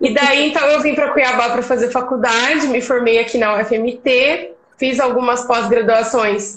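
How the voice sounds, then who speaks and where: With a Minas Gerais accent, a woman talks at a high pitch with ordinary pitch variation. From Brazil, Minas Gerais. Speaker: agronomist. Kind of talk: casual interview. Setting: live stream.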